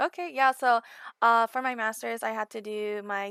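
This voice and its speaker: With a Californian accent, a woman speaks at a fairly high pitch in a bright, sharp tone. Her pitch varies in an ordinary way at a moderate pace, and the sound is dry and close with no echo. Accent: Californian American English. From Southern California. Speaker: gaming community manager. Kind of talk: podcast interview.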